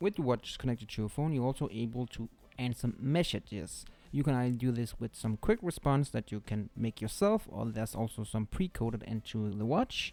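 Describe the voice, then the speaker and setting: This man has a non-native accent and a dark, mellow tone. He talks at a fairly quick pace with ordinary pitch variation. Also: medium pitch for a man. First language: not English. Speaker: tech reviewer. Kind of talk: product review. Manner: halting.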